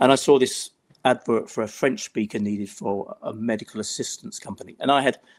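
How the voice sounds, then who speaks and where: A man's medium-pitched voice with an English accent and fairly even intonation. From England. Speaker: travel risk management executive. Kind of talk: interview conversation. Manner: hesitant, many fillers.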